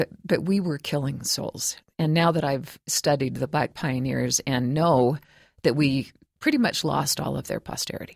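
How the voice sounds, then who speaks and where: A woman speaks at a moderate pace in a very deep, low pitch with vocal fry and ordinary pitch variation. The sound is dry and close, with no echo. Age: 60s. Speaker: professor of creative writing and author. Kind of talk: interview.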